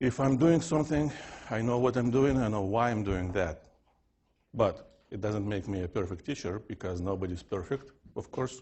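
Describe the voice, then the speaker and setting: Medium-pitched, somewhat breathy speech from a man with a Russian accent, lively in intonation and moderate in pace. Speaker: physics professor. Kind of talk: lecture. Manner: unusual fixed intonation.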